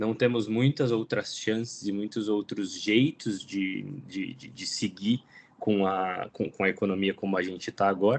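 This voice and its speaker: Big swings in loudness, a fairly slow pace, a Brazilian accent and ordinary pitch variation. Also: man, fairly low pitch for a man. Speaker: climate program lead. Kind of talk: presentation.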